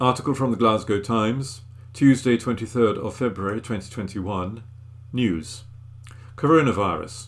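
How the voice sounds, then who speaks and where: With an ordinary speaking voice, a man talks at a moderate pace, his medium pitch showing ordinary variation. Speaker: volunteer newsreader. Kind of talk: newsreading, reading newspaper articles aloud. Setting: recorded at home. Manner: clear, steady, formal newsreader delivery.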